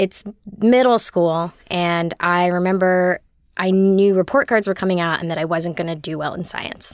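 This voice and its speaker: Using an ordinary speaking voice, a woman with an American accent talks at a moderate pace with fairly even intonation. The sound is dry and close with no echo, against a quiet background. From US West Coast, Los Angeles. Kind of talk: storytelling in casual chat.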